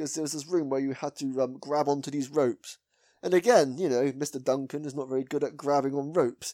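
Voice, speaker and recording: Delivered at a very fast pace in a West Country accent, the voice has a dark, mellow tone and fairly even intonation. The recording is very clean and dry, with a silent background and a close sound with no echo. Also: man, fairly high pitch for a man. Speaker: podcast host. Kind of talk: casual chat.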